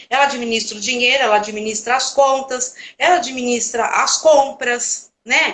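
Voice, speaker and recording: A woman's high-pitched voice carries along at a moderate pace. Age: 60s. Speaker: home organizer, live host. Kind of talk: casual chat. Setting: live stream.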